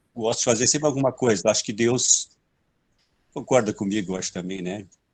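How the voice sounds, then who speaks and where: An ordinary speaking voice is heard against a quiet background. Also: man. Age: 60s. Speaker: elderly audience member. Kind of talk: audience question.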